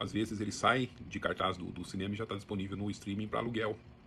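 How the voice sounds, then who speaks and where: A man with a fairly low pitch rushes along at a very fast pace, his intonation fairly even. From Brazil, interior of São Paulo state (Sertãozinho). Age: 60s. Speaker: book channel host. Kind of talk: casual monologue. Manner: conversational, with some hesitations.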